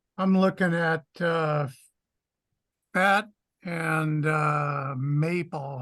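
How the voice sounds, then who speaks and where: The voice has a bright, sharp tone. The background stays quiet. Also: man. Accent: Californian. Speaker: call participant, crypto trader. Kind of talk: casual group chat about trading. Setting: video call.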